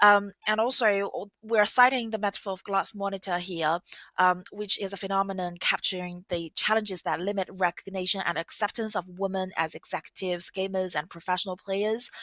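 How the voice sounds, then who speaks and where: Speaking at a fairly quick pace, a woman with a medium pitch and a bright, sharp tone keeps her intonation fairly even, the sound dry and close with no echo. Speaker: academic researcher. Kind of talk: conference presentation. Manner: fast; hesitant fillers.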